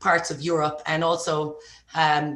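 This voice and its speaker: A woman with an Irish accent and a fairly low pitch speaks in a bright, sharp tone amid audible room echo. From Ireland. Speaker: entrepreneur. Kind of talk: podcast interview. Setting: podcast.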